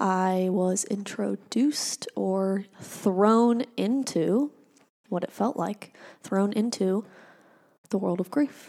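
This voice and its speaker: Speaking at a very slow pace, a woman uses a medium pitch and ordinary pitch variation, her tone dark and mellow. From Arizona, Phoenix area. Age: 20s. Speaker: grief podcast host. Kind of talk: personal monologue.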